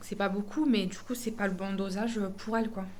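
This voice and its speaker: Audible room echo accompanies speech delivered at a moderate pace. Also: woman. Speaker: family vlogger. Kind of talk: casual vlog talk to camera. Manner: hesitant, many fillers.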